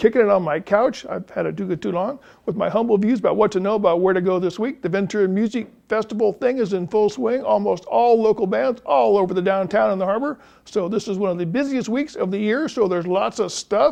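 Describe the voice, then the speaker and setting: Speaking very fast, a man uses a high pitch with ordinary pitch variation. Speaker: newspaper music columnist presenting event picks. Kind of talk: casual scripted entertainment listings. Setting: studio, seated on a couch. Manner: animated, jokey.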